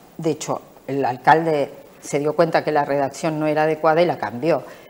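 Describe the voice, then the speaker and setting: Her pitch is very deep and low for a woman, with ordinary variation. She keeps a moderate pace. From Argentina. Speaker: local politician. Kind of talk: interview.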